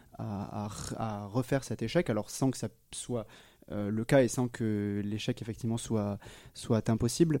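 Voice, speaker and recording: A man speaks at a fairly slow pace. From southwest France, near Agen. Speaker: physics student. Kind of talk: interview. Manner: hesitant, many fillers and repetitions.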